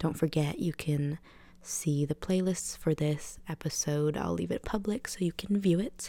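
Speaking at a moderate pace in an upbeat, relaxed tone, a woman has a very deep, low voice with ordinary pitch variation. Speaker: radio DJ. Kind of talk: radio show host chatting between songs. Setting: radio studio broadcast. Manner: upbeat, casual, relaxed.

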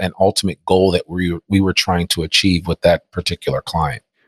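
A man with an American accent talks at a fairly quick pace in a fairly low pitch. He has an ordinary speaking voice, and the sound is dry and close with no echo. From New Jersey (Teaneck). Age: 50s. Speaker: entrepreneur and podcaster. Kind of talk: interview conversation. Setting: remote recording.

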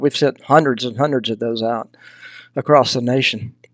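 Speaking at a fairly quick pace with a slight Southern US accent, a man holds a medium pitch in monotone, flat intonation, recorded very cleanly against a silent background with a dry, close sound and no echo. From Texas. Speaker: hunting mentorship nonprofit founder. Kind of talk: casual interview.

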